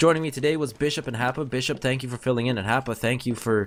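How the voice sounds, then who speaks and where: Over a silent background in a very clean recording, a man with a slight Canadian accent talks at a very fast pace. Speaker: esports commentator. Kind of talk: live commentary; casual sign-off. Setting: live stream.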